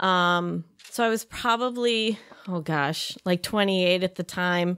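A woman with an American accent speaks with ordinary pitch variation against a quiet background. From Chicago area, US Midwest. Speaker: yoga teacher. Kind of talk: casual interview. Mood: warm, reflective storytelling. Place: studio. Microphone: studio mic.

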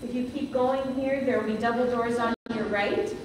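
A woman speaks at a fairly slow pace. Audible room echo and noticeable background noise surround her. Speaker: pastor. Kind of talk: announcements at a memorial service. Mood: warm, gentle. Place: church.

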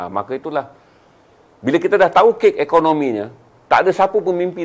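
A man talks at a fairly quick pace, his intonation lively. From Malaysia. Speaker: business motivational speaker; motivational speaker. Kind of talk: live-stream talk. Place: studio. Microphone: lapel.

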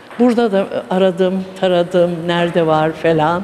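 Over noticeable background noise, a woman talks. Her pace is very slow. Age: 70s. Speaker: table tennis enthusiast. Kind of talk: news interview. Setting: sports hall. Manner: hesitant, many fillers. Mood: cheerful, enthusiastic. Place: gym. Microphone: handheld.

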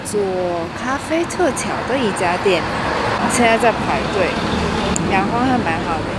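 Loud background noise surrounds a woman's voice, and the sound is dry with no echo. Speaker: vlogger. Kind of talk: casual vlog chat. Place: street. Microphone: phone near.

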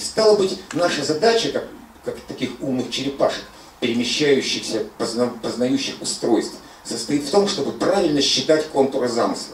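Audible room echo and light background noise surround this recording. A man with a fairly high pitch talks at a moderate pace. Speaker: philosopher, seminar co-leader; seminar lecturer. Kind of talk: philosophical seminar talk. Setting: lecture room with audience and microphone. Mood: reflective, philosophical. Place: home room.

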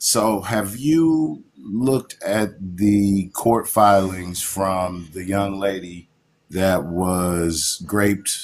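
A man's fairly low voice with lively intonation over light background noise. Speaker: caller. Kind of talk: casual political discussion. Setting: live call. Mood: earnest, conversational. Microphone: phone near.

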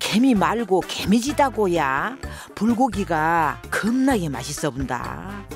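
Over background music, a woman with a Jeolla accent speaks at a very slow pace, her medium pitch moving in very wide swings. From South Korea, Jeolla region. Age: old.

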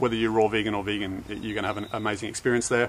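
A man talks in a monotone, flat manner. Light background noise runs underneath. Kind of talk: casual vlog chat. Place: garden.

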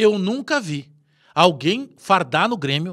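A loud man's voice, high-pitched with very wide pitch swings, at a very slow pace over a quiet background. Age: 40s. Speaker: football commentator, fan channel; football commentator. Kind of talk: opinion monologue. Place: studio.

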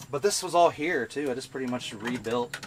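A man talks fairly quickly against loud noise in the background. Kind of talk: casual tour explanation. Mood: relaxed, friendly. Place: car.

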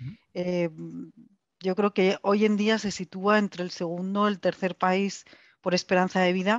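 Against a quiet background, a woman speaks in a flat monotone, recorded dry with no echo. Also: fairly slow pace. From Spain. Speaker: foundation executive, panelist; panelist. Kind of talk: online panel discussion. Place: office. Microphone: headset.

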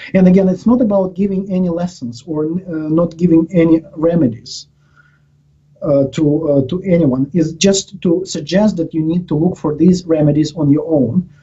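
A man speaks at a moderate pace in a high pitch with a dark, mellow tone against a quiet background. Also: ordinary pitch variation. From Ukraine. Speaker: professor. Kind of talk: interview. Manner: halting, with many repetitions and fillers. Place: office. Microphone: headset.

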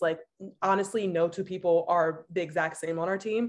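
Over a quiet background, a woman speaks in a fairly low pitch. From San Francisco, California. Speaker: former college rower and graduate student; panelist. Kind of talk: panel discussion on video call. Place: home room. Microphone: video call.

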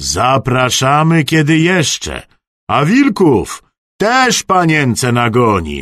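A man in a put-on character voice at a medium pitch, very slow pace, and quiet background. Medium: read story. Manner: jovial, teasing.

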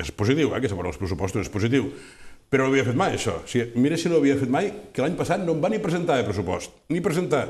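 Very fast and somewhat breathy, a man's voice moves through very wide pitch swings. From Tortosa, Catalonia. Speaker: local politician. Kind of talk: press statement. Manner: halting. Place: studio. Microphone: lapel.

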